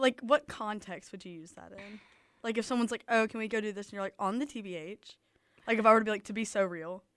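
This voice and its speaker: Talking at a very fast pace with a Southern US accent, a woman with a fairly high pitch makes big swings in loudness. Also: ordinary pitch variation, very clean recording, silent background. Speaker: college radio co-host. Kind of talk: casual chat. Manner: animated.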